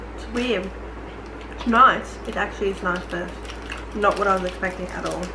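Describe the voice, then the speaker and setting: Speech at a moderate pace comes with long, frequent pauses and noticeable background noise. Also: woman. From Australia. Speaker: YouTuber. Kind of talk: casual talk to camera. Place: home room.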